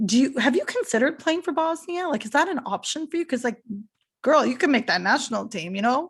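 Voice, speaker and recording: Very fast and animated, a woman with a Canadian accent speaks in a high pitch with very wide pitch swings. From Canada, Toronto. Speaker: podcast host. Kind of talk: casual interview chat.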